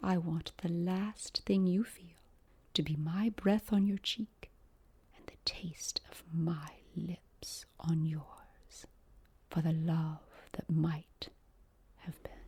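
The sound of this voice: A woman puts on a character voice, slow and fairly low in pitch, with fairly even intonation. Her tone is dark and mellow with a husky, rough edge.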